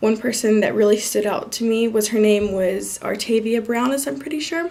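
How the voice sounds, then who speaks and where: Noticeable background noise runs underneath. Over it, a woman's intonation is lively. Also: fairly high pitch for a woman, moderate pace. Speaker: student. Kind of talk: self-review monologue. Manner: casual with fillers.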